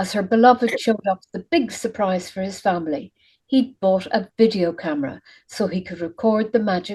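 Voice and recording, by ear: A natural voice reading aloud, ordinary pitch movement, and a quiet backdrop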